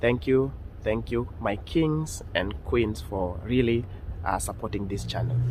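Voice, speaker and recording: Audible room echo surrounds a man with a Kenyan accent. His voice is fairly low and his pace fairly slow. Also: lively intonation. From Kenya (Nyamira County, later Nairobi). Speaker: YouTuber. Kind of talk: vlog intro; interview.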